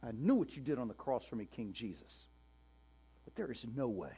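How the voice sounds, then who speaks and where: Putting on a strained character voice, a man talks at a fairly quick pace and a medium pitch. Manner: strained, resentful, through clenched teeth.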